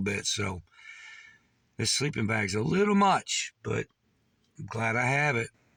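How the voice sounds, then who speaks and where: Here a man's bright, sharp tone carries vocal fry. The sound is dry and close, with no echo. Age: 60s. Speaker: vlogger, military veteran. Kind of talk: casual vlog monologue.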